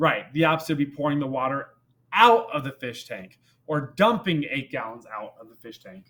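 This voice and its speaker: Fairly high for a man, this voice is an unremarkable speaking voice with lively intonation at a moderate pace. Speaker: math teacher. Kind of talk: tutorial.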